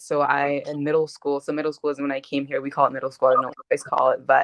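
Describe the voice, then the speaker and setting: A woman speaks with a slight Gambian accent in a very deep, low voice, recorded dry and close with no echo. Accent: American English with slight Gambian trace. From Gambia, moved to US at seventh grade. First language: Mandinka. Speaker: activist and college student. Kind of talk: interview. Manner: casual, with many fillers.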